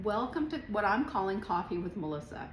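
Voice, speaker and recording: A woman talks at a fairly quick pace. The room echo is audible, and background noise is noticeable. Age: 60s. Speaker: author and business owner. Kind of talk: casual monologue to camera. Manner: casual, many fillers.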